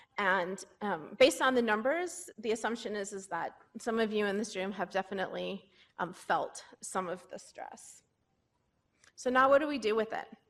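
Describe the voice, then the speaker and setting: A woman's fairly high voice moves with lively intonation. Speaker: pediatric psychologist. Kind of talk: conference talk. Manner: fast.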